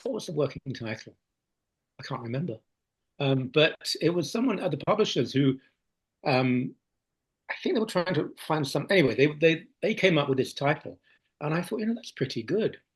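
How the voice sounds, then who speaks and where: A somewhat breathy man talks fairly quickly at a fairly high pitch, with lively intonation and long, frequent pauses. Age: 60s. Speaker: priest and author. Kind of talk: interview. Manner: halting, many restarts.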